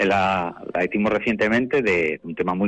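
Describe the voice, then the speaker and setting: A man speaking at a fairly slow pace. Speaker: children's choir director. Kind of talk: interview.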